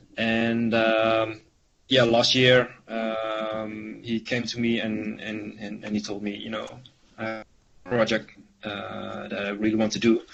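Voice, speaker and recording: Over music in the background, a man speaks in a flat monotone at a fairly slow pace. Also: medium pitch for a man. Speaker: visual designer presenting a project. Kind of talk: online meeting presentation. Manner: halting, many fillers and repetitions.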